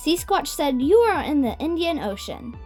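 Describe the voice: Over clear background music, a woman does a high-pitched cartoonish character voice at a moderate pace.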